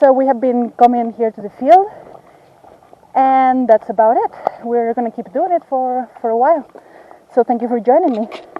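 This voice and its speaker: With a non-native accent, a woman speaks in a high pitch with long, frequent pauses over noticeable background noise. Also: ordinary pitch variation, moderate pace. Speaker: field ecologist. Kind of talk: field vlog tutorial. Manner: halting.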